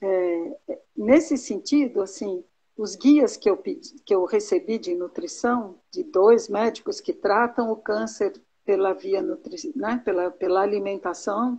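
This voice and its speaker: Somewhat breathy and dark, mellow in tone, a woman speaks at a fairly slow pace with fairly high pitch and very wide pitch swings. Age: 60s. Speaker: teacher and Ayurveda student. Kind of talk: mentoring conversation. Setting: live video call.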